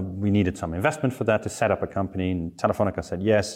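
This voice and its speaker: A man with a Dutch accent, fairly low-pitched and fairly quick. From Netherlands. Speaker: online community expert. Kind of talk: casual interview.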